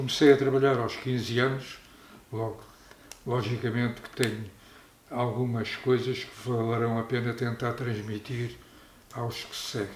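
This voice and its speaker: A man's medium-pitched voice with a Lisbon accent, a monotone with flat intonation, a fairly slow pace, long, frequent pauses, audible room echo and noticeable background noise. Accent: European Portuguese, Lisbon region. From Portugal, Arruda dos Vinhos. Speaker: local elder. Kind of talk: oral history interview.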